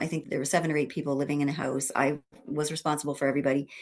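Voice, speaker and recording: Over a quiet background, a woman speaks in a very deep, low pitch. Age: 70s. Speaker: masters sprinter, retired teacher. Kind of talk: interview answer.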